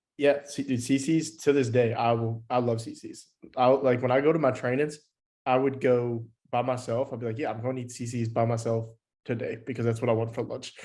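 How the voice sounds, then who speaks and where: The voice has a dark, mellow tone and moves at a fairly quick pace in a monotone, flat intonation. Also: man, medium pitch for a man. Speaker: podcast co-host. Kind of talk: casual chat. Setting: video call.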